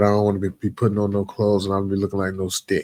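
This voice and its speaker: A man with a fairly low pitch is heard in a dry, close sound with no echo. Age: 50s. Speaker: podcast host. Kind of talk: casual monologue. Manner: halting, repetitive.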